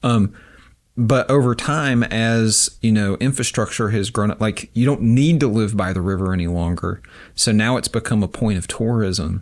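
An ordinary speaking voice from a man in an American accent, fairly low-pitched, at a moderate pace with ordinary pitch variation, on a very clean recording with a silent background. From western North Carolina, rural Avery County. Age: 40s. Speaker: documentary filmmaker and film professor. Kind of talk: casual interview conversation.

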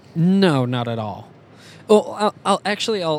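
An unremarkable speaking voice from a man with an American accent. His pitch sits fairly high, and he talks at a moderate pace. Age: 30s. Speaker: musician and podcast co-host. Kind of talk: interview. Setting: in a car.

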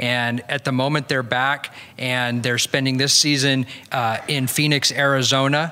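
Noticeable background noise sits behind a man with a medium pitch. He talks at a fairly slow pace in a monotone, flat intonation. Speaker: church member giving introduction. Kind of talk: introduction and prayer. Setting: church.

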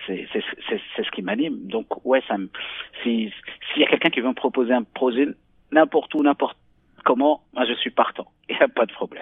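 Speaking at a moderate pace, a man uses lively intonation at a medium pitch. He leaves long, frequent pauses. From Morocco, Marrakech. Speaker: novelist. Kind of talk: interview. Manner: halting, many repetitions.

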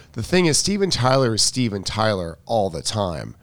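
A man's ordinary speaking voice, medium in pitch, at a moderate pace. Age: 50s. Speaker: tennis coach. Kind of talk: casual chat.

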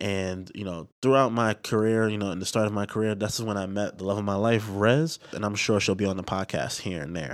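A man with a normal speaking voice and an American accent, fairly low pitch, fairly quick pace and ordinary pitch variation. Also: very clean recording, silent background. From Bronx, New York City. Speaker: entrepreneur podcast host. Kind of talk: podcast trailer monologue. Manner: casual, conversational with filler words.

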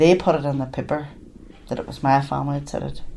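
Speaking at a fairly quick pace with a Derry accent, a woman uses a very deep, low pitch amid audible room echo. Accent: Northern Irish (Derry). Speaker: bereaved mother. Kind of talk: testimony.

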